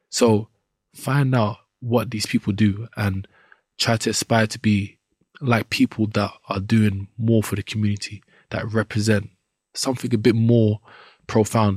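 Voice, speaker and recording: A man with a London accent speaks at a fairly low pitch in a somewhat breathy voice with monotone, flat intonation, the very clean recording dry and close with no echo and a silent background. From Southeast London. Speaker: professional boxer. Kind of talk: casual interview.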